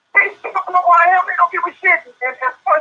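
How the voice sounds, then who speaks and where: A man is talking with an American accent. His pace is fairly quick. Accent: doesn't sound like he's from Baton Rouge. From Baton Rouge, Louisiana (US South). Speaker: rapper. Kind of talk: heated debate. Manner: animated.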